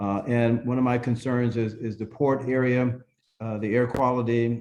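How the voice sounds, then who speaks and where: Dark and mellow in tone, a man with an American accent holds a medium pitch in a monotone, flat delivery. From Southern California, San Fernando Valley. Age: 60s. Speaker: political candidate. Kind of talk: campaign introduction at online meeting. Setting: video call.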